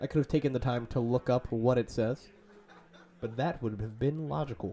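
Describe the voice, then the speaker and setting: At a moderate pace and medium pitch, a man speaks in a playful tone, somewhat breathy, with ordinary pitch variation. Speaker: game commentator. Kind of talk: live commentary. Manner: casual, playful.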